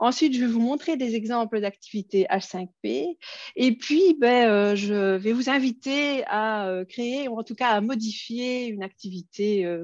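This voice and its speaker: Her pitch is fairly high and her intonation lively as a woman speaks at a fairly slow pace. The sound is dry and close with no echo, over a quiet background. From Belgium. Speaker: educational technology trainer. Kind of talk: conference workshop presentation. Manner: hesitant, many fillers.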